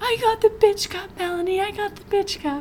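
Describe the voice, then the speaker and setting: This is a put-on character voice at a moderate pace. Background noise is clearly heard. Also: female-sounding voice, extremely high pitch for a woman. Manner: giddy, slurring.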